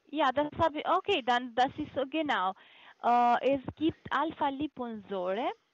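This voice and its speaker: A high-pitched woman's voice with lively intonation at a fairly slow pace, dry with no echo, against a quiet background. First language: not German (speaking German). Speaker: supplement sales caller; caller. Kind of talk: phone sales pitch. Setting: phone call. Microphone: phone line.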